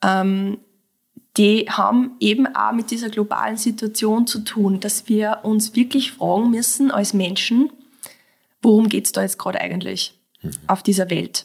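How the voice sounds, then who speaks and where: A woman with a fairly high pitch speaks at a fairly slow pace. Her somewhat breathy voice keeps fairly even intonation. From Austria, Mostviertel (Lower Austria). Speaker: clinical psychologist and breathwork teacher. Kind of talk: casual interview conversation.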